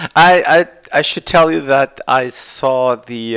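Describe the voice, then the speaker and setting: Speaking at a medium pitch with ordinary pitch variation, a man talks in a Portuguese accent. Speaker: podcast host for a political party. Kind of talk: casual interview.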